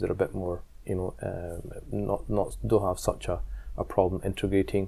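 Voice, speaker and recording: This man has a Scottish accent. He talks at a moderate pace. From Scotland. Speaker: imam and community leader. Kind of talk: interview. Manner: halting.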